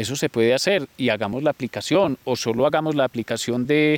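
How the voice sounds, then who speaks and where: A man speaks with a Colombian paisa accent at a medium pitch and moderate pace. The sound is dry and close with no echo, and his pitch varies in an ordinary way. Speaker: farm manager. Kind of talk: casual interview.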